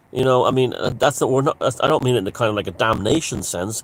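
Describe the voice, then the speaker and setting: In an Irish accent, a man speaks at a fairly quick pace with a medium pitch. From Ireland. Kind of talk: casual talk to camera. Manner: rambling, conversational.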